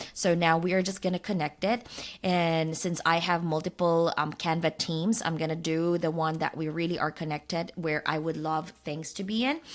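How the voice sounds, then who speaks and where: A woman with a non-native accent and a fairly low pitch speaks with ordinary pitch variation in a very clean recording with a silent background. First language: not English. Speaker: design tool educator, YouTuber. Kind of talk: software tutorial. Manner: casual, with frequent fillers.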